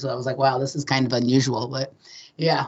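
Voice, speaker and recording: A woman's very deep, low voice with a West Coast accent at a very fast pace. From Los Angeles. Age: 40s. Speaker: guest. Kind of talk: casual chat. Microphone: switched rooms to avoid echo.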